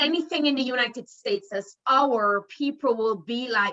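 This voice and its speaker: A woman speaks at a moderate pace in a Jamaican accent. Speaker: professor and qualitative researcher. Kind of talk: panel discussion. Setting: video call.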